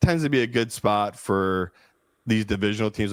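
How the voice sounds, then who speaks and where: A man with a Philadelphia accent, fairly low-pitched and talking very fast, in a dry, close recording with no echo, very clean against a silent background. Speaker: professional sports bettor, co-host. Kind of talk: casual sports betting discussion. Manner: animated.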